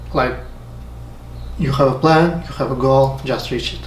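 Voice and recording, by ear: With audible room echo around him, a man speaks at a medium pitch in fairly even intonation.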